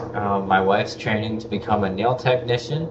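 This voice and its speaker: With an American accent, a man speaks at a moderate pace amid noticeable background noise and audible room echo. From Michigan, US Midwest. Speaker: podcast host, soldier. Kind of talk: casual live-stream podcast monologue. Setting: live stream on camera. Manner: halting, with many fillers.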